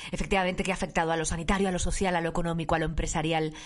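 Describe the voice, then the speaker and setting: A woman speaks in a fairly low pitch. Noticeable background noise sits behind her. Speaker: podcast host. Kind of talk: interview. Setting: home studio.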